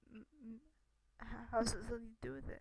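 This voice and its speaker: This woman is soft-spoken, with a dark, mellow tone. She talks at a moderate pace. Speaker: gamer reading a game aloud. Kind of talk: reading game dialogue aloud. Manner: quiet, soft.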